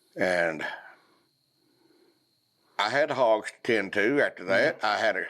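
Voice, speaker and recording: Fairly slow male speech in a Southern US accent, broken by long, frequent pauses. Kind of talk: podcast conversation.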